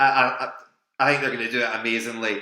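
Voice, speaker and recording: An animated man with a Scottish accent and a bright, sharp tone, plus audible room echo. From Scotland. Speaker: quiz host. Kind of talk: live online quiz hosting. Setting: live stream from home.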